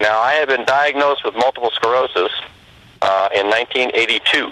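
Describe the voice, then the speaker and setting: The speech moves at a fairly quick pace, with ordinary pitch variation and very even loudness. Noticeable background noise runs underneath. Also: man, medium pitch for a man. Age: 60s. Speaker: retired medical diagnostician. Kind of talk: testimony.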